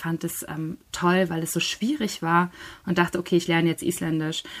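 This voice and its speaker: A woman speaks at a very fast pace with a fairly low pitch. The recording is very clean, with a silent background. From northern Germany, Schleswig-Holstein. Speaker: novelist and literary scholar. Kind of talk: interview.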